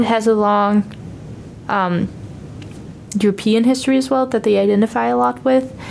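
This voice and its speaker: A woman speaks with a Danish accent at a fairly high pitch. Noticeable background noise runs behind her. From Denmark. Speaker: exchange student. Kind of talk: casual chat. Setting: studio.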